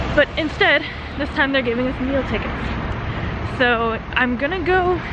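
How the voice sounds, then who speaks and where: A woman talks over noticeable background noise. The sound is dry, with no echo. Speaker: college student vlogger. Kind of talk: casual vlog chat. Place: street. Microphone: phone near.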